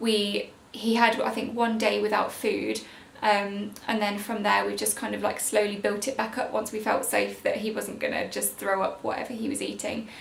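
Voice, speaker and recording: A quiet woman's voice with hardly any pauses, noticeable background noise and audible room echo. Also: moderate pace. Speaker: parenting vlogger. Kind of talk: casual vlog update. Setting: at home, baby napping above. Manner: chatty.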